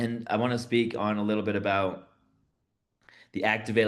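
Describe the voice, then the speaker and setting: A man at a fairly quick pace in monotone, flat intonation, with audible room echo. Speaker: podcast co-host. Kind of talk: casual spiritual discussion. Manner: halting.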